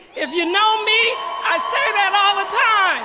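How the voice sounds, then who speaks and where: The speaker is loud and talks at a fairly slow pace over noticeable background noise. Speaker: nonprofit executive director. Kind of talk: rally speech. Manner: projecting loudly.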